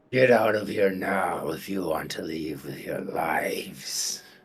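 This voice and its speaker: A man puts on a gruff, raspy character voice at a fairly low pitch. He speaks at a fairly slow pace. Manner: menacing, warning.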